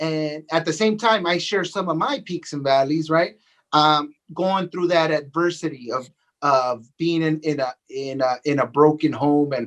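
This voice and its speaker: A man's fairly high pitch and a normal speaking voice, with an American accent, a fairly slow pace and ordinary pitch variation. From Los Angeles, California. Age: 40s. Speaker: real estate agent and coach. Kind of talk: podcast interview. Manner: repetitive, with many fillers.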